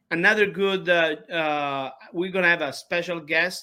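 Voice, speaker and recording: A man with an Italian accent has a bright, sharp tone. The recording is very clean, with a silent background. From Sicily, Italy. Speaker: opera singer. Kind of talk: interview. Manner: halting.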